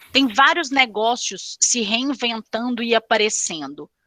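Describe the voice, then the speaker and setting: The voice carries a Minas Gerais accent and a bright, sharp tone. Its intonation is lively. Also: woman. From Brazil, Minas Gerais. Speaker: executive recruiter. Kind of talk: panel discussion.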